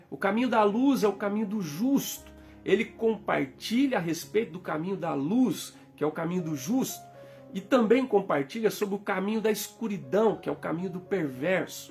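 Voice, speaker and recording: Music plays in the background as a man speaks at a moderate pace. His pitch is high and his intonation lively. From Minas Gerais, Brazil. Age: 40s. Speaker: pastor. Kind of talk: sermon.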